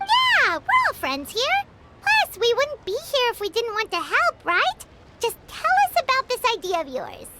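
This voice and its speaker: This put-on character voice is squeaky and extremely high. It moves at a moderate pace. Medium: video game. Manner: lively, casual.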